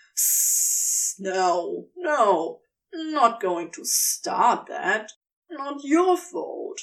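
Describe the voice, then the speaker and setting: A growling, high-pitched put-on character voice with very wide pitch swings at a very slow pace. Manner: snarling; hissing.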